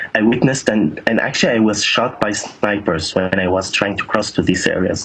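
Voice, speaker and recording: A man's fairly quick speech is heard against noticeable background noise. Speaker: activist eyewitness in a conflict zone. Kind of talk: news interview. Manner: halting, stuttering repetitions.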